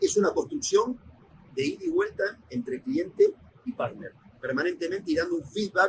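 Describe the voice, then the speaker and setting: Speaking in an Argentine accent, a man keeps a moderate pace. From Argentina. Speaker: logistics executive. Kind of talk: podcast interview.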